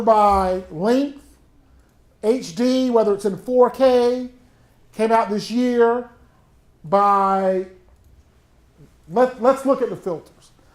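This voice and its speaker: A man speaks very slowly in a strong Southern US accent, leaving long, frequent pauses. His voice is extremely high, with ordinary pitch variation. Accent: thick Southern US. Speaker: college instructor. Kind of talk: workshop tutorial. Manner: casual, conversational.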